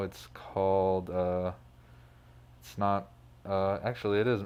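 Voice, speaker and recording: This man has an unremarkable speaking voice with an American accent and fairly low pitch. He talks at a fairly slow pace. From Phoenix, Arizona, US. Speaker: music producer and DJ. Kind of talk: casual interview. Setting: studio.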